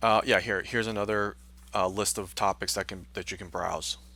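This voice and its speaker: A man speaks at a fairly quick pace with a fairly low pitch, ordinary pitch variation, vocal fry and a bright, sharp tone, on a very clean recording with a silent background. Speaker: university instructor. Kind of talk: screen-recorded tutorial. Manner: fast; hesitant, many fillers.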